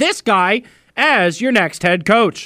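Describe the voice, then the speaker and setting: A man projects a raised voice, high in pitch with a bright, sharp tone. The sound is dry and close with no echo, in a very clean recording with a silent background. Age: 30s. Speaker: sports radio host. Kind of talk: sports talk radio.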